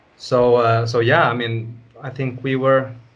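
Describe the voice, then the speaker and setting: In a room with audible echo, a man speaks at medium pitch in a somewhat breathy, monotone, flat voice. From northern Sweden. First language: Swedish. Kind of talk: interview. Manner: casual.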